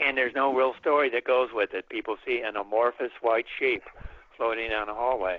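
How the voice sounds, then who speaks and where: A normal speaking voice, a man's, at a moderate pace and medium pitch. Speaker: folklorist and author on ghost narratives. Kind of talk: radio interview answer, storytelling.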